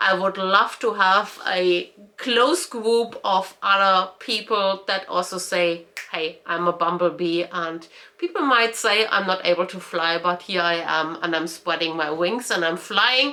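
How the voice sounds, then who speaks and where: A woman speaks with a German accent at a medium pitch. Her tone is bright and sharp. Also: ordinary pitch variation, fairly slow pace. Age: 40s. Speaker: lifestyle vlogger. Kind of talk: personal vlog monologue. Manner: hesitant, many fillers.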